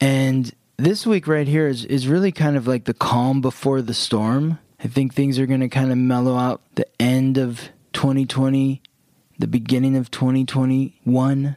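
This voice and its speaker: The tone is dark and mellow, and the sound is dry and close with no echo. The pace is fairly slow, the intonation fairly even, and the loudness very even. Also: man, medium pitch for a man. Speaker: astrologer, podcast co-host. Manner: slow, deliberate talker.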